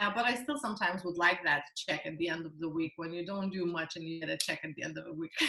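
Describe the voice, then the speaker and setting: Very fast, nearly pause-free speech with a non-native accent over noticeable background noise. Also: woman, fairly low pitch for a woman, ordinary pitch variation. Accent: foreign. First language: not English. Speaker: network marketing entrepreneur. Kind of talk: interview. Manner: hesitant, many fillers.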